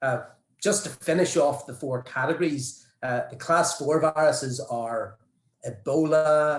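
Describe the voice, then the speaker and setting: Somewhat breathy, a man speaks in an Irish accent with ordinary pitch variation. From Ireland. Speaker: vaccine researcher. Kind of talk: panel presentation.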